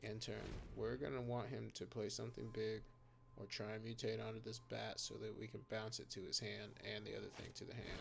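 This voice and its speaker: Noticeable background noise sits behind a man talking at a fairly quick clip. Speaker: gaming YouTuber. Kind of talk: gameplay commentary. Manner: animated.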